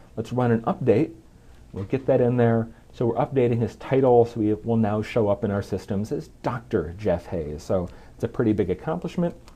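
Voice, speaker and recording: A man's dark, mellow voice with vocal fry, at a fairly quick pace. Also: medium pitch for a man, lively intonation. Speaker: software program manager. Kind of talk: tech demo presentation.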